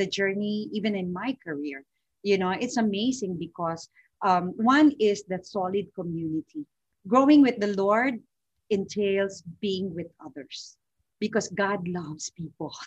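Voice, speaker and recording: A woman speaks at medium pitch and a fairly slow pace, somewhat breathy, with lively intonation and big swings in loudness. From Philippines, Manila. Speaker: financial consultant. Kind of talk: interview.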